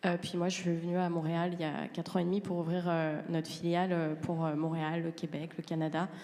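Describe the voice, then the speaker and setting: Her voice fairly low in pitch, a woman talks with monotone, flat intonation. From France. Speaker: transport consultant. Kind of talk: panel presentation. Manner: halting, many hesitations.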